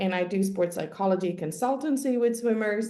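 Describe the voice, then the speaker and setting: A woman with a Finnish accent speaks at a fairly quick pace, her medium-pitched voice dark and mellow in tone, with audible room echo. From Finland. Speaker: sport psychologist. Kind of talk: webinar presentation.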